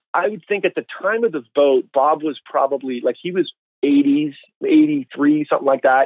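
A man speaks in an ordinary speaking voice at a moderate pace. His pitch is fairly high, with ordinary variation. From Canada. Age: 40s. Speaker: church consultant and author. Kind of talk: interview.

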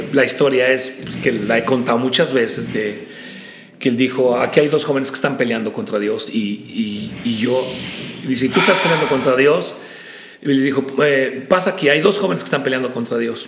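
With a central Mexican accent, a man speaks at a medium pitch with ordinary pitch variation. Noticeable background noise and audible room echo are present. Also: moderate pace. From Mexico, State of Mexico. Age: 50s. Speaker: preacher. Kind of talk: interview conversation.

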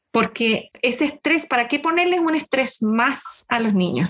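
Her pitch is high and her intonation lively. The woman speaks at a moderate pace. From Chile, Concepción. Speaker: school counselor. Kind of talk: podcast interview.

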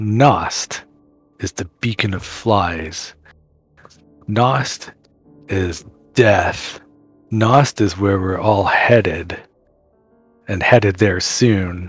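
A man puts on a raspy character voice with a fairly low pitch, talking at a very slow pace with long, frequent pauses. Faint music plays in the background. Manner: ominous, mocking, preachy.

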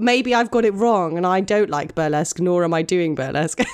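The woman talks at a fairly quick pace. She has a British accent. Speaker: burlesque performer and podcast co-host. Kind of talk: casual chat. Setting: video call. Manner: laughs a lot.

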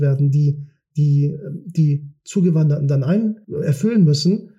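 A man's dark, mellow tone comes through as he talks at a moderate pace. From Kiel, northern Germany. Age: 40s. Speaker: politician. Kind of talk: interview. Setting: studio.

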